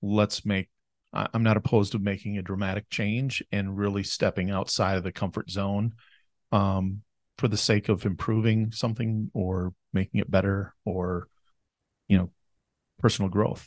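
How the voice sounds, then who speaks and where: Speaking at a moderate pace with long, frequent pauses, a man with an Upper Midwest accent uses a fairly low, monotone, flat delivery, recorded dry and close with no echo against a quiet background. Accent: Upper Midwest American. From southern Minnesota, US. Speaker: wealth planner. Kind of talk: casual interview. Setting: studio, seated next to host.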